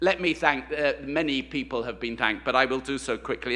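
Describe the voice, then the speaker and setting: Speaking at a moderate pace, the man has a bright, sharp tone with vocal fry. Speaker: university president. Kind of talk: ceremonial speech. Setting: stage with audience. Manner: halting.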